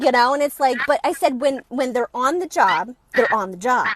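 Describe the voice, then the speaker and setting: With a New York accent, a woman talks at a high pitch in a dry, close sound with no echo. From New York area, US East Coast. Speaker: author. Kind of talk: interview.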